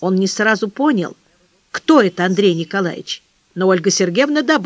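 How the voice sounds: A natural reading voice with lively intonation over a quiet background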